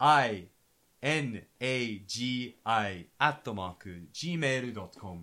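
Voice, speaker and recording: With an Australian accent, a man speaks at a very slow pace and medium pitch, with a bright, sharp tone, lively intonation and big swings in loudness. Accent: Australian accent in Japanese. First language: English (speaking Japanese). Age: young. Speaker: podcast host. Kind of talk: casual chat. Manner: halting.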